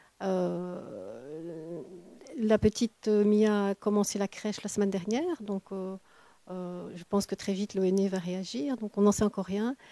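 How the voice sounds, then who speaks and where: A woman with an ordinary speaking voice talks at a fairly slow pace, at a medium pitch. Her pitch variation is ordinary, and the sound is dry and close with no echo. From Belgium. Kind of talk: interview answer.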